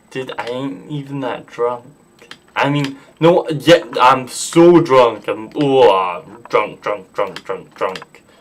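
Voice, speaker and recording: A man's fairly high voice at a very slow pace, with ordinary pitch variation, big swings in loudness and noticeable background noise. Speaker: gaming streamer. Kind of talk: live gameplay stream chat. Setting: live stream, sitting down. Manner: casual, halting with fillers.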